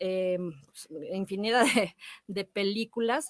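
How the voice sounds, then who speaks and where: A woman speaks at a very slow pace, recorded with a dry, close sound and no echo. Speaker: radio host and actress. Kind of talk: radio show host talk, film recommendations. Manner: warm, friendly.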